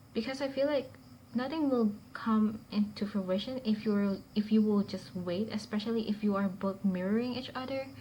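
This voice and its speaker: Moderate pace and ordinary pitch variation from a woman with a fairly high, somewhat breathy voice. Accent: non-native. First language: not English. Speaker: tarot reader. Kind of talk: tarot reading to camera. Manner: halting, with fillers; stutters at times.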